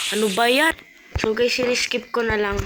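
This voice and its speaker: A woman talks at a moderate pace with monotone, flat intonation while noticeable background noise carries on behind her. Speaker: gaming vlogger. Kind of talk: gameplay commentary.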